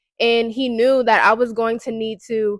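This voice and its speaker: In an American accent, a woman speaks at a fairly slow pace with a fairly high pitch. The recording is very clean, with a silent background. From Baltimore, US. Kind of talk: casual personal testimony. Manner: casual, conversational.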